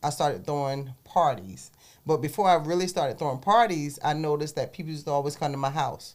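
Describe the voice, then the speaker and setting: Speaking in a South Carolina Lowcountry accent, a woman has a very deep, low pitch. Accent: Southern US, South Carolina Lowcountry. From US South, South Carolina Low Country. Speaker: entrepreneur. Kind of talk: interview.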